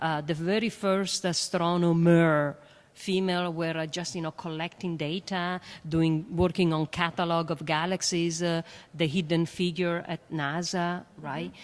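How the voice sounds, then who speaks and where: In an Italian accent, the voice moves at a fairly slow pace with monotone, flat intonation, on a very clean recording with a silent background. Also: woman. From Italy. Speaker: astrophysicist and educator. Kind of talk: panel discussion. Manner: hesitant, many fillers.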